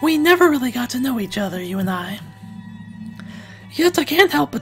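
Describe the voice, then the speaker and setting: A put-on character voice, hoarse and strained, fairly high in pitch with very wide pitch swings, at a fairly quick pace over clear music in the background. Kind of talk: dramatic voice acting.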